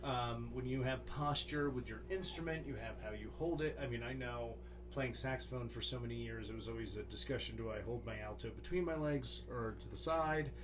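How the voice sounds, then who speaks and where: With a US East Coast accent, a man talks at a fairly quick pace with hardly any pauses. Noticeable background noise and audible room echo are present. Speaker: music teacher, podcast co-host. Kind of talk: casual chat.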